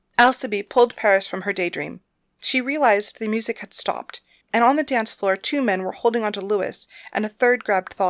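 In an unforced reading voice with ordinary pitch variation, the speaker talks against a quiet background.

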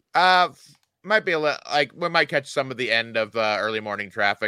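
A man speaks at a fairly quick pace with an American accent, his tone bright and sharp and his pitch swinging very widely. The recording is very clean, with a silent background. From Indiana. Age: 40s. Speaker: comedian. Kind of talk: casual chat.

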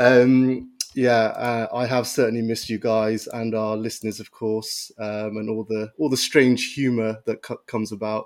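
On a very clean recording with a silent background, the voice runs at a moderate pace with hardly any pauses and a flat, monotone intonation. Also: man, medium pitch for a man. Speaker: doctor, returning guest. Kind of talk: podcast journal review.

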